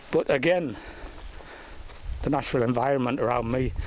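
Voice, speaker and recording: A man's voice against noticeable background noise. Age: 60s. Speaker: nature vlogger. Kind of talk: casual monologue. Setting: outdoors. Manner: halting.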